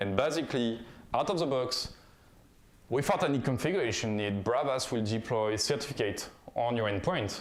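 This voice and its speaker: A man with a French accent talks at a fairly quick pace with ordinary pitch variation, and there is audible room echo. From France. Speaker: conference speaker, software founder. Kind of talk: conference talk. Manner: halting, with fillers.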